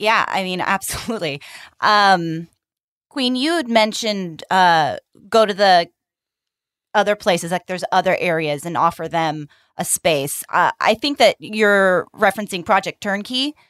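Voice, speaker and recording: In an ordinary speaking voice, a woman of medium pitch talks at a moderate pace with lively intonation. The sound is dry and close with no echo, on a very clean recording with a silent background. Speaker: podcast host and interviewer. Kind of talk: interview.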